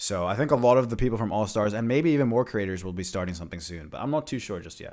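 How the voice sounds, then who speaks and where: A man speaks very fast with a fairly low pitch, lively intonation and big swings in loudness. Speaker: streamer and gamer. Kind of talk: casual livestream chat.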